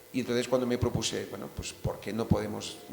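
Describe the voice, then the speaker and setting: The speaker has a Catalan accent and monotone, flat intonation. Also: man. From Catalonia. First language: Catalan (speaking Spanish). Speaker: novelist. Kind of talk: panel discussion.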